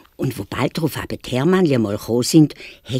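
Natural-voiced reading aloud full of lively intonation

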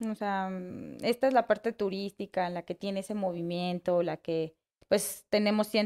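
A woman's voice at a moderate pace, fairly even in intonation, over a quiet background. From Mexico City. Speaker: bakery co-owner. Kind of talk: casual interview. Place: cafe. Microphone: studio mic.

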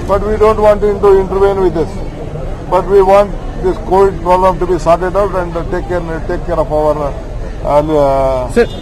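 A high-pitched man at a moderate pace with ordinary pitch variation, in a dry sound with no echo and crowd noise in the background. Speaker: politician. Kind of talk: press interview answer. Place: street. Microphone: handheld.

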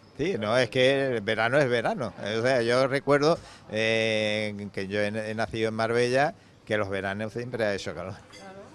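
The speaker moves at a moderate pace with ordinary pitch variation and big swings in loudness. The sound is dry with no echo, and faint music plays in the background. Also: man, medium pitch for a man. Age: old. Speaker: fishing club president. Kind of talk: interview. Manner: halting. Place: bar. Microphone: handheld.

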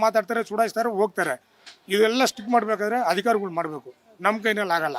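This is a man's voice. His pitch is high. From Bengaluru, Karnataka. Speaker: local resident. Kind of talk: street interview.

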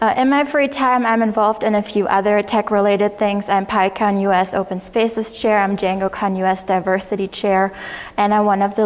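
A woman with a German accent talks at a fairly quick pace, her intonation fairly even. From Germany. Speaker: conference speaker and mentor. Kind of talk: conference talk. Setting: stage with audience. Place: hall.

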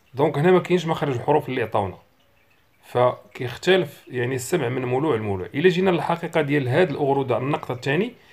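A man's fairly high, somewhat breathy voice in a Moroccan accent, fairly quick with lively intonation. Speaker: bird-song teacher. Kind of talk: tutorial.

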